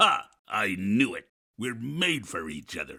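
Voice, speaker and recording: Putting on a character voice, a man growls at medium pitch. He speaks at a fairly slow pace. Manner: growling.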